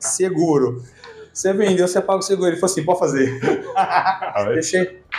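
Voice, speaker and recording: Over noticeable background noise, a man with a high pitch speaks at a moderate pace with ordinary pitch variation and very even loudness. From Brazil, Ribeirão Preto (São Paulo interior). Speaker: insurance franchise owner. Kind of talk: casual interview chat.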